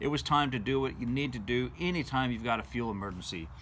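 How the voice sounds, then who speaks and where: A man talks at a moderate pace with vocal fry. Light background noise can be heard. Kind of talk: casual vlog storytelling. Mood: calm, engaging recounting. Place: home room. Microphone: phone near.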